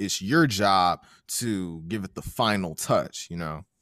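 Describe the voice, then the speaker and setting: An unremarkable speaking voice with ordinary pitch variation comes through in a very clean recording with a silent background. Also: man. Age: 20s. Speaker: podcast host. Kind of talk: casual interview.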